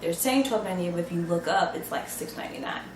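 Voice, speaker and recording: Amid noticeable background noise and audible room echo, a woman speaks in an animated tone at a fairly low pitch. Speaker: mom vlogger sharing shopping tips. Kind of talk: casual vlog talk to camera.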